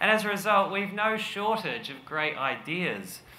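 Light background noise and audible room echo around a male speaker. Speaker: conference speaker. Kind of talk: presentation talk. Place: stage. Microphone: podium.

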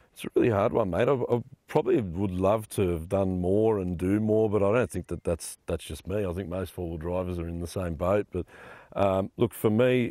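A man speaks at a very deep, low pitch and a moderate pace, with a dark, mellow tone and ordinary pitch variation. The sound is dry with no echo, and the background is quiet. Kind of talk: interview answer. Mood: relaxed, friendly. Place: forest.

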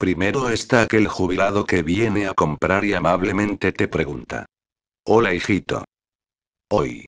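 Man's fairly low voice with vocal fry, a fairly slow pace and a dry, close sound with no echo. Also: quiet background. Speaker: supermarket cashier. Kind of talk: angry rant, comic venting. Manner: exasperated, sarcastic, swearing.

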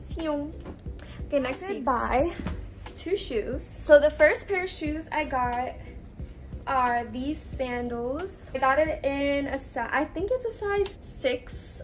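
Very slowly, a woman speaks while faint music plays in the background. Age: 20s. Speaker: fashion haul vlogger. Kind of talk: casual talk to camera. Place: home room. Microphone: phone near.

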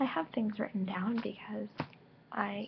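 A woman speaks at a fairly slow pace over light background noise. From Ontario, Canada. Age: young. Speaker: vlogger. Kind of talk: casual vlog. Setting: webcam recording. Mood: friendly, a bit sombre on 9/11. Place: home room. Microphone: webcam.

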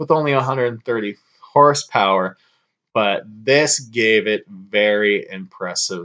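Against a quiet background, a man speaks very slowly in a bright, sharp tone with ordinary pitch variation. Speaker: car vlogger. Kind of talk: casual vlog chat. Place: home room. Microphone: webcam.

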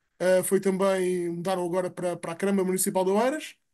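A man speaks at a fairly quick pace with a European Portuguese accent, his pitch high for a man and his tone dark and mellow. His intonation stays flat and monotone over a quiet background. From Portugal. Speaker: seminar participant. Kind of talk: online seminar discussion. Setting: video call. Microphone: video call.

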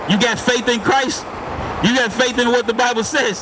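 Amid noticeable background noise, a man talks in an animated tone at a moderate pace. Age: 30s. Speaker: street preacher. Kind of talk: street debate. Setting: outdoors. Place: street.

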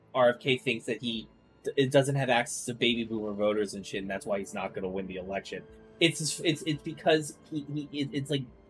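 Music plays faintly behind the voice. The man talks at a moderate pace. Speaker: streamer. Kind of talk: casual stream commentary. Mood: dismissive, irritated.

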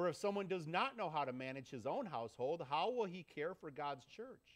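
A man talks with lively intonation over a quiet background. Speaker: pastor. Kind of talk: sermon. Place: church.

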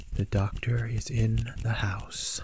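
A man whispering, with a dry sound and no echo. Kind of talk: role-play medical exam talk to the viewer. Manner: close whisper beside the listener's ear. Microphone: webcam.

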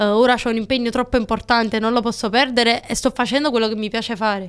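Over a quiet background, the speaker sounds animated and talks at a very fast pace. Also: woman. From Naples, Italy; Italy. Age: 20s. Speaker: TikTok creator and shop owner; TikTok creator. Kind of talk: casual podcast interview. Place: studio. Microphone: studio mic.

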